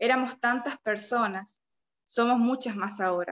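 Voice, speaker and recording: A woman speaks at a fairly slow pace with a fairly high pitch and fairly even intonation. The sound is dry and close, with no echo. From Argentina, La Rioja. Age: 20s. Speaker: young writer. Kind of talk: reading aloud prepared review.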